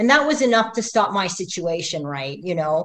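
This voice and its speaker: A woman talks at a fairly quick pace. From Middle East, raised in Canada. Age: 50s. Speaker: athlete. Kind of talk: interview. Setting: livestream. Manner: animated.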